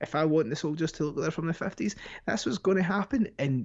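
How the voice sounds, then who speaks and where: With a Scottish accent, the man talks. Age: 20s. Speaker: podcast guest. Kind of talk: casual chat.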